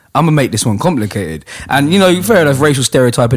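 A man with a London accent. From London, Hackney. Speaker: battle rap league host. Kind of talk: casual chat.

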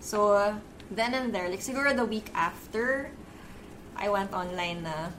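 Long, frequent pauses break up speech that has ordinary pitch variation and audible room echo. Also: woman, medium pitch for a woman, fairly slow pace. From Philippines. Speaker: beauty blogger and editor. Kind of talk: casual chat.

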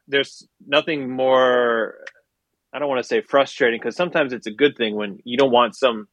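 A man speaks with an American accent in a normal speaking voice, with medium pitch. His pace is fairly quick and his intonation fairly even. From Milwaukee, Wisconsin, US. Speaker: graphic designer and musician. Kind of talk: casual interview chat.

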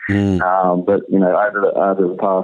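With a normal speaking voice, a man talks at a moderate pace and fairly low pitch. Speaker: rugby league coach. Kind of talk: casual interview. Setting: phone call.

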